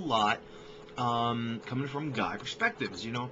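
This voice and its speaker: A man talks over noticeable background noise. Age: 20s. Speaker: vlogger and filmmaker; vlogger. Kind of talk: casual vlog introduction. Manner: halting, many fillers. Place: home room. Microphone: webcam.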